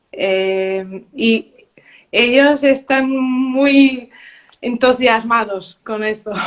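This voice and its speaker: At a very slow pace, a woman with a Portuguese accent speaks in a high pitch with ordinary pitch variation. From Portugal. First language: Portuguese (speaking Spanish). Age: 30s. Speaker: beauty queen and primary teacher. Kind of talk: interview. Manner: halting.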